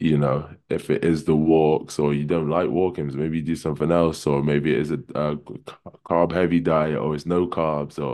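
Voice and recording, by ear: A man's voice sits extremely low in pitch, with a slightly mellow tone.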